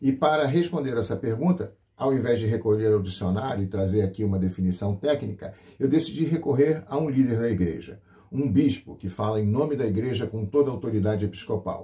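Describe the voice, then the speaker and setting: Somewhat breathy and dark, mellow in tone, a man talks fairly quickly at medium pitch with lively intonation. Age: 60s. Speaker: pastor and radio host. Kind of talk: radio program presentation. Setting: radio broadcast.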